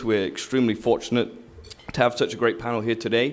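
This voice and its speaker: This man speaks with an English accent. His voice is medium in pitch. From southern England. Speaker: commercial lender and panel moderator. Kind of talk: event introduction and panel moderation. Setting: stage with audience.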